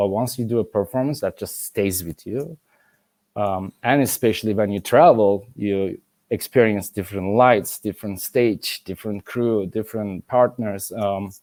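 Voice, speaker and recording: A man with a Turkish accent and a fairly low pitch talks at a moderate pace with ordinary pitch variation, on a very clean recording with a silent background and a dry, close sound with no echo. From Turkey. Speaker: ballet master and former principal dancer. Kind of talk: interview conversation. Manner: halting.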